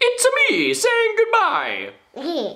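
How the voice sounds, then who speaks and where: A man's put-on character voice at an extremely high pitch. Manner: cheerful, playful.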